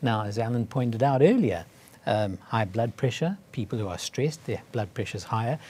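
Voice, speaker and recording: A somewhat breathy voice with a dark, mellow tone, at a fairly quick pace. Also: man, medium pitch for a man, ordinary pitch variation. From South Africa. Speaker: cardiologist. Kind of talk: interview. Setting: studio.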